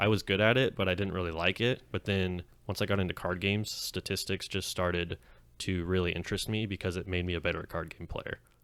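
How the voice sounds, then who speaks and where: A man's very deep, low voice with a Californian accent, fairly quick and fairly even in intonation, on a very clean recording with a silent background. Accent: Californian American English. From US West, Clovis, Fresno County, California. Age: 20s. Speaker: podcast co-host, card game player. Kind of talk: casual chat. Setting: podcast recording.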